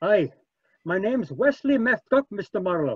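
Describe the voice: A man's put-on character voice, high pitch for a man with big pitch swings, a slightly husky edge, a fairly slow pace, and a dry, close sound with no echo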